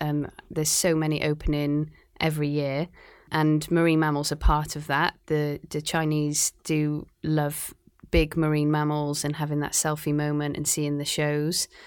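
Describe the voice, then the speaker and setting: With a Cardiff accent, a woman talks at a moderate pace in a very deep, low pitch. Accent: Welsh (Cardiff). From Wales, Cardiff. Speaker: marine biologist, aquarium conservation manager. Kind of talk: interview.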